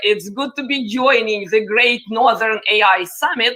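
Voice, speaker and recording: A woman with a Russian accent, high-pitched, at a fairly slow pace with ordinary pitch variation. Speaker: panel moderator, tech influencer. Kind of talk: panel discussion.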